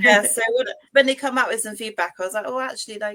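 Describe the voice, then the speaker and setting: A woman with a strong British accent, fairly high in pitch, bright and sharp in tone. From UK. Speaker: author. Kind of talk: casual interview.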